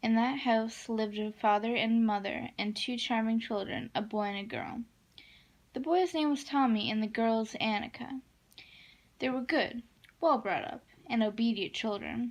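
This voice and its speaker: A somewhat breathy woman's voice with ordinary pitch variation on a very clean recording, silent background. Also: fairly high pitch for a woman, moderate pace. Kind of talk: bedtime story reading. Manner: soft-spoken.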